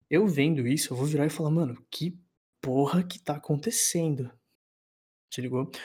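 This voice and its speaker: A man's somewhat breathy voice, fairly high in pitch with a dark, mellow tone, ordinary pitch variation, moderate pace and long, frequent pauses, on a very clean recording with a silent background. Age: 20s. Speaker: university student podcast co-host. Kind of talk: casual chat.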